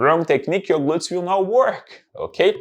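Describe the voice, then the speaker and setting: Speaking at a moderate pace, a man with a strong Brazilian accent has a high pitch. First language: Portuguese. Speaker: fitness trainer. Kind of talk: tutorial.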